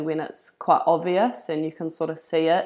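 Speaking with a New Zealand accent, a woman with a fairly low pitch keeps a moderate pace and fairly even intonation in a very clean recording with a silent background. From New Zealand, Levin. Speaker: football player. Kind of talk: casual chat.

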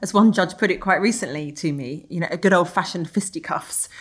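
In a normal speaking voice, a woman talks at a fairly quick pace with lively intonation. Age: 40s. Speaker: senior police officer. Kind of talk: interview.

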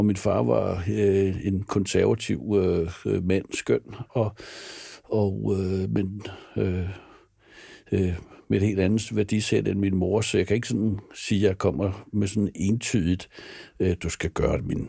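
A man speaks very slowly in a fairly low, dark, mellow voice with vocal fry and ordinary pitch variation, on a very clean recording with a silent background. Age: 60s. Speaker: film producer. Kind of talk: interview. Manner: hesitant, many fillers and repetitions.

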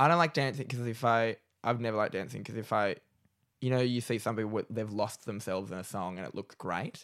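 A man with an Australian accent talks at a very fast pace, medium in pitch with ordinary pitch variation, in a very clean recording with a silent background. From Australia, Newcastle NSW. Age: 20s. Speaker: comedian. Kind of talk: casual chat.

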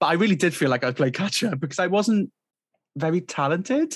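A man with a South Wales Valleys accent and lively intonation, on a very clean recording with a silent background. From Wales, South Wales Valleys. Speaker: composer. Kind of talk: casual chat.

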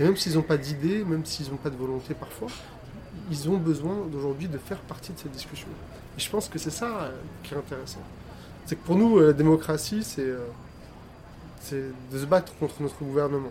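Noticeable background noise sits behind a man with a fairly high pitch, speaking at a moderate pace. His loudness swings widely while his pitch varies in an ordinary way. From France, Algerian heritage. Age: 30s. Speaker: filmmaker. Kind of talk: interview.

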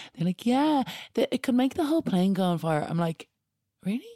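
A woman with a Dublin accent has a dark, mellow tone and very wide pitch swings, recorded dry and close with no echo. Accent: Dublin Irish. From Ireland, Dublin. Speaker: DJ and podcast presenter. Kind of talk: casual chat.

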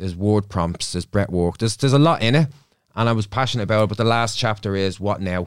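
A man talks very fast with a Dublin accent, his fairly low pitch moving with ordinary variation. The recording is very clean, with a silent background. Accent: Dublin Irish. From Dublin, Ireland. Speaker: psychotherapist. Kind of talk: casual chat. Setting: studio.

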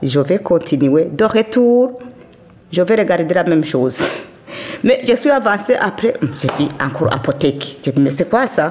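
Over noticeable background noise, a woman talks at a fairly slow pace with very wide pitch swings, very even loudness, and long, frequent pauses. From Burundi, Kayanza province. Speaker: immigrant elder. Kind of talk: testimony.

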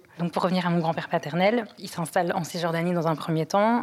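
A woman with an ordinary speaking voice talks in a fairly low pitch with fairly even intonation. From Europe, raised there. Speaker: podcast guest. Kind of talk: testimony.

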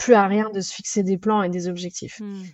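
A woman's medium-pitched voice at a fairly slow pace, flat and monotone in intonation. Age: 30s. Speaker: chef and restaurant owner. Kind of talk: interview. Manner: hesitant, many fillers.

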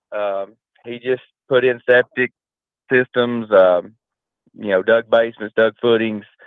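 A man speaks in a strong Southern US accent, his intonation monotone and flat. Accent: deep Southern drawl. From Georgia, US South. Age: 30s. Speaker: construction business owner. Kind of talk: podcast interview.

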